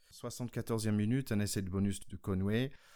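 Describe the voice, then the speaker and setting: A man with a non-native accent speaks at a fairly low pitch. The recording is very clean, with a silent background. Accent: own accent, apparently non-native French. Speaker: podcast host, former American football player. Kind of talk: casual chat.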